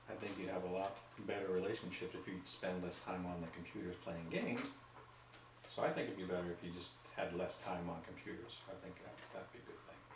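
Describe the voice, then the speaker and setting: A man with a very deep, low pitch talks fairly quickly and with fairly even intonation, amid noticeable background noise and an audible room echo. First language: not English. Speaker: grandfather being interviewed. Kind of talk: casual family interview.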